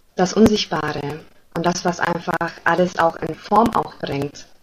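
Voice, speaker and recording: Noticeable background noise accompanies a woman's voice. She speaks at a fairly slow pace in a fairly low pitch. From Germany. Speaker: spiritual coach. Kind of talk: podcast interview. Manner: hesitant, many fillers.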